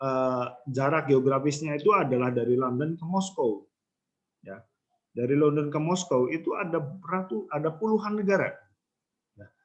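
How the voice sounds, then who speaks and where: A man with a fairly high pitch speaks with lively intonation in a plain, everyday voice. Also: moderate pace. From Central Java, Banyumasan (ngapak) area. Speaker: university lecturer. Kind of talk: lecture. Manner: casual conversational, many fillers.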